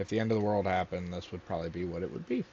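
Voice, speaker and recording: A man is speaking. He mumbles his words. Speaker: gaming youtuber. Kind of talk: casual gameplay commentary. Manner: mumbling.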